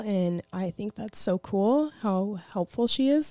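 With an American accent and lively intonation, a woman speaks in an ordinary speaking voice at a medium pitch, recorded dry and close with no echo on a very clean recording with a silent background. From Arizona. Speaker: esthetician. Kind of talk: casual chat.

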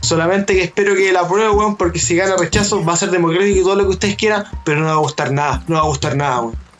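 With a Chilean accent, the speaker goes at a very fast pace with hardly any pauses, very even loudness, and ordinary pitch variation, amid noticeable background noise. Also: man, high pitch for a man. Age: 20s. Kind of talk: casual chat.

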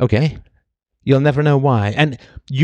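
At a moderate pace, a man of medium pitch sounds animated, recorded dry and close with no echo. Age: 50s. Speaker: philosophy podcaster / commentator. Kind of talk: monologue lecture.

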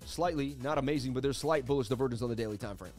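With music playing in the background, a man races along at a very fast pace in a medium pitch. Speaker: crypto livestream host. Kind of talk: casual, chart-analysis commentary. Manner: fast talker.

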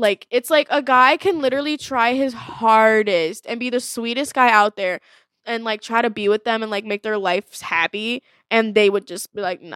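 An animated tone at a moderate pace, ordinary pitch variation, and a very clean recording with a silent background. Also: woman, fairly high pitch for a woman, dry, close sound with no echo. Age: 20s. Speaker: podcast co-host. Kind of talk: casual chat.

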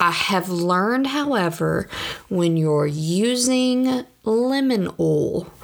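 Her intonation lively, a woman speaks in a Southern US accent on a very clean recording with a silent background. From US South. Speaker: podcast host. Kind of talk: casual monologue.

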